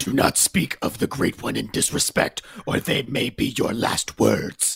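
A man uses a put-on character voice at a medium pitch and a moderate pace. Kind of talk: amateur script read-through. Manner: menacing, commanding.

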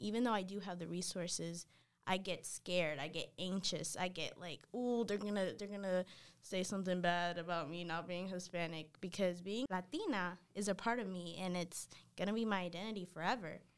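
Fairly even in intonation, a woman's medium-pitched voice keeps a moderate pace. It is a normal speaking voice on a very clean recording with a silent background. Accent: American. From North Carolina, US (Dominican parents). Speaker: college student. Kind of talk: casual interview chat.

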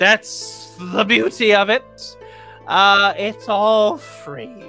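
A put-on character voice at a very slow pace over clear music in the background. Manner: decisive, matter-of-fact.

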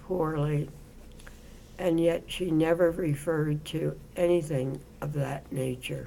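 At a very deep, low pitch, a woman with a dark, mellow tone talks at a fairly slow pace. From Baltimore, US. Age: 80s+. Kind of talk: interview.

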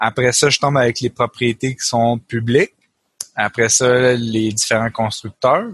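A man's medium-pitched voice in a Quebec accent, very slow, with a dry, close sound with no echo. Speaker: co-host, programmer. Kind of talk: casual technical discussion.

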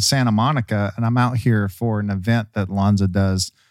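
This is a normal speaking voice with fairly even intonation at a moderate pace. The recording is very clean, with a silent background. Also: man. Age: 30s. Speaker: podcast host. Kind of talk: casual interview chat. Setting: in-person recording in Santa Monica.

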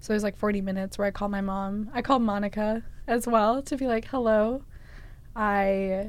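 An unremarkable speaking voice with an American accent, fairly even intonation and a moderate pace. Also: woman. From Massachusetts. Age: 20s. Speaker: student storyteller. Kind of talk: interview storytelling.

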